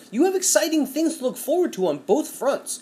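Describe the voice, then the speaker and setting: Man's voice over noticeable background noise. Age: 30s. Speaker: podcast co-host. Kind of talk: casual chat.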